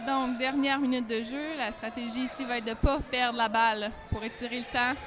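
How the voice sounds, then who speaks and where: A woman with a Quebec accent and a high pitch is heard through audible room echo and noticeable background noise. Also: moderate pace. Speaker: guest commentator, Quebec team staff. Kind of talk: live commentary. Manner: animated.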